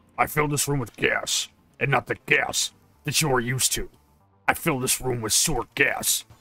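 A man puts on a character voice at a fairly high pitch and a moderate pace. Faint music plays in the background. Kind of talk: silly meme voice. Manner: comic overacting, gloating, repetitive.

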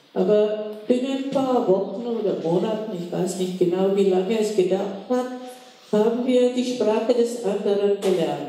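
A woman's fairly high voice at a fairly slow pace, with ordinary pitch variation and strong room echo. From Czech Republic. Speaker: Holocaust survivor and contemporary witness. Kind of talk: public lecture. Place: hall.

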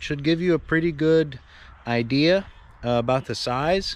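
At a moderate pace, a man talks with ordinary pitch variation in a dry recording with no echo. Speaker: tractor owner. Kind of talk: casual vlog chat. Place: garden. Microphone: phone near.

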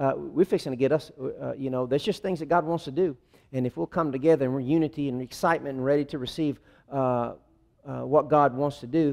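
The background is quiet. A man rushes along at a very fast pace, his pitch varying in an ordinary way. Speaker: pastor. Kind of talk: sermon. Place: church.

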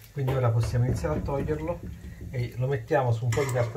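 A man's pitch varies in an ordinary way as noticeable noise runs in the background. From Italy. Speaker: cooking show host. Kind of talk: cooking tutorial. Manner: animated. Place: kitchen.

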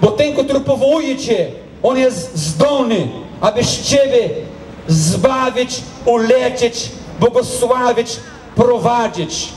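A man talks at a very slow pace in an extremely high pitch, with ordinary pitch variation and very even loudness. Audible room echo and light background noise surround his voice. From Brazil. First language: Portuguese (speaking Polish). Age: 40s. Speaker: pastor. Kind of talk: testimony. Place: stage.

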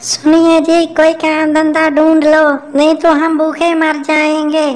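In a cartoonish character voice, a woman speaks extremely high, flat and monotone, at a fairly slow pace with very even loudness. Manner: worried, urging.

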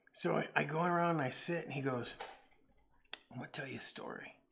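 A man whispering. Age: 40s.

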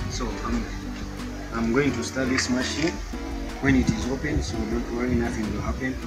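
Over loud background music, a man talks at a moderate pace. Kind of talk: tutorial. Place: street. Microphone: phone near.

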